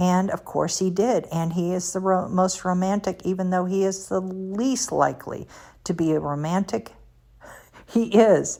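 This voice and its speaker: A woman's dark, mellow voice at medium pitch, moderate pace and ordinary pitch variation, on a very clean recording with a silent background. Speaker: motivational speaker. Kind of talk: religious podcast talk.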